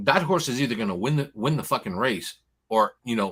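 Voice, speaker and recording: With lively intonation and an animated tone, a man talks at a very fast pace on a very clean recording with a silent background. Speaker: horse racing betting analyst. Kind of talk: casual betting preview chat. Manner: animated, repetitive stammering.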